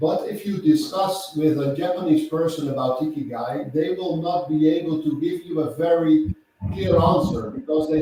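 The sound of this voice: A man with a Dutch accent speaks at a moderate pace in a fairly high pitch, his pitch rising and falling in an ordinary way. His tone is dark and mellow, and the room echo is audible.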